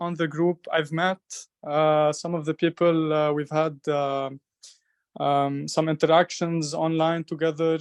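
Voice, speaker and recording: A man with an Arabic accent speaks at a fairly high pitch and a fairly slow pace. His intonation is monotone and flat, and the sound is dry and close with no echo. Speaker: voice actor and community project presenter. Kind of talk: online community meeting presentation. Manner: halting, many fillers.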